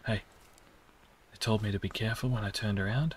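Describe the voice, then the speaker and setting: Quiet and fairly low-pitched, a man talks at a fairly quick pace with ordinary pitch variation, in a dry sound with no echo and light background noise. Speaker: gaming YouTuber. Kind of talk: let's play commentary. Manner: hushed, trying to speak quietly. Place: home room.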